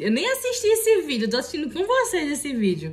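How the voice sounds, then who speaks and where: Animated in tone, a woman talks at a fairly quick pace with lively intonation. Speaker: YouTuber. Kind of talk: reaction video commentary.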